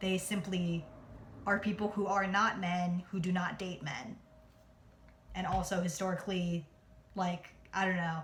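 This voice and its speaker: Noticeable background noise sits behind a woman speaking in an American accent. Her medium-pitched delivery is monotone and flat, with long, frequent pauses. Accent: New Jersey accent, lighter on camera. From New Jersey. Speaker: vlogger. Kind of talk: casual vlog monologue. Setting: at home. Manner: fast.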